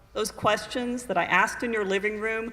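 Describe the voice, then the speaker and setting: At a moderate pace, a woman with a fairly high pitch speaks over noticeable background noise. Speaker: attorney. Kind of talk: personal essay reading at a live event. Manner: earnest, intense.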